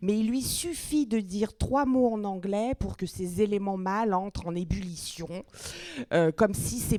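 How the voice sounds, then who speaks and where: Fairly slow speech from a woman, with ordinary pitch variation amid noticeable background noise. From born in Moscow, Russian mother, French father. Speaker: literary translator.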